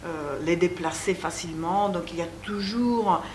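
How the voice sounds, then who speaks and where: A woman with an Italian accent at a very slow pace, audible room echo and noticeable background noise. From Italy. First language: Italian (speaking French). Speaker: psychoanalyst and author. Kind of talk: interview. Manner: halting.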